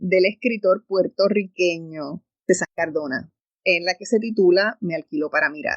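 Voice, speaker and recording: A woman talks at a fairly slow pace with an animated tone. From Puerto Rico. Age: 60s. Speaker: radio host. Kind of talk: radio talk show monologue.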